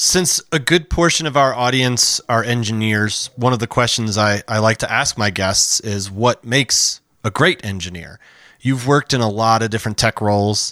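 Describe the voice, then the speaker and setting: An unremarkable speaking voice, a man with an American accent talks at a moderate pace with medium pitch and ordinary pitch variation. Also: dry, close sound with no echo, very clean recording, silent background. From Chicago, US Midwest. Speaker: podcast host. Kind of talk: interview.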